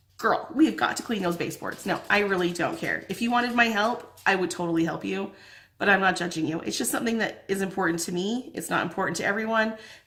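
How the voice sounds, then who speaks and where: Amid audible room echo, a woman speaks very fast at a medium pitch, with lively intonation and an animated tone. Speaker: lifestyle vlogger. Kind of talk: casual chat.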